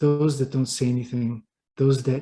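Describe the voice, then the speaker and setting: Somewhat breathy, a man speaks at a medium pitch with a dark, mellow tone. His intonation is fairly even, and the background is quiet. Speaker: writer and business consultant. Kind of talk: interview. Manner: halting, repeats words.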